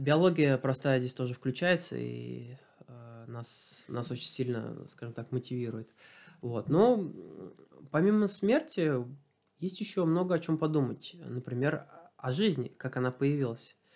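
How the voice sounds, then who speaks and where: Lively intonation and big swings in loudness mark a man's fairly slow delivery, which has long, frequent pauses. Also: medium pitch for a man. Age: 30s. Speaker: athlete. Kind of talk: casual chat. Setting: home interview.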